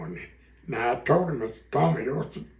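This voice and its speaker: Speaking with an American accent, a man talks at a fairly slow pace with vocal fry. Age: 80s+. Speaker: retired dirt track racecar driver. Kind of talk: interview answer. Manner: casual storytelling.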